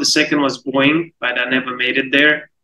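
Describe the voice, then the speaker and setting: A man with an Uzbek accent, a bright, sharp tone and fairly high pitch, at a moderate pace. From Uzbekistan. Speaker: product manager. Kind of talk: interview.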